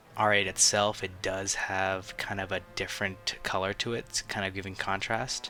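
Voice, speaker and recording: Over music in the background, a man talks at a fairly slow pace in a fairly low pitch with monotone, flat intonation. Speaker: toy reviewer. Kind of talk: casual talk to camera. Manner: hesitant, many fillers.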